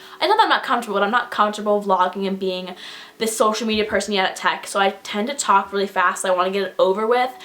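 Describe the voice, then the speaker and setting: Over noticeable background noise, a woman talks at a very fast pace with a medium pitch and fairly even intonation. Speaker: YouTuber. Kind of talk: casual chat.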